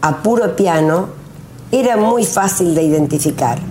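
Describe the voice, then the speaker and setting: Talking at a fairly slow pace with lively intonation, a woman is recorded amid audible room echo and noticeable background noise. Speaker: retired teacher, local storyteller. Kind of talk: reading aloud. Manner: formal.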